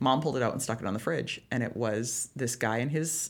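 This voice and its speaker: The pace is fairly quick. The speaker is a woman. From British Columbia, Canada. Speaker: financial advisor and entertainer. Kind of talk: casual interview.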